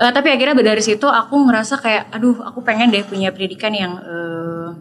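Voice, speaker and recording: Over noticeable background noise, a woman talks at a very fast pace with a fairly high pitch and ordinary pitch variation. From Indonesia, Yogyakarta (also Papua, South Sumatra). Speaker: singer. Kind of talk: interview. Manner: casual, with many fillers.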